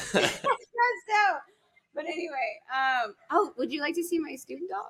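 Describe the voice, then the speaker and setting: A loud woman speaks in an extremely high pitch with a bright, sharp tone and very wide pitch swings. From US, Swedish American family. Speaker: speed painter. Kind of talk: podcast interview. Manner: animated.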